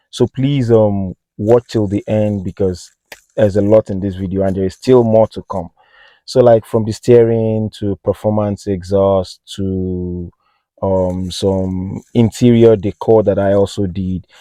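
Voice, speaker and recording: A man with a non-native accent speaks at a fairly slow pace in a dark, mellow tone. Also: fairly low pitch for a man, fairly even intonation. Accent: noticeable non-native accent, self-noted. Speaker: car enthusiast vlogger. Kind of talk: casual vlog. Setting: outdoors on a hilltop. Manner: hesitant, many fillers.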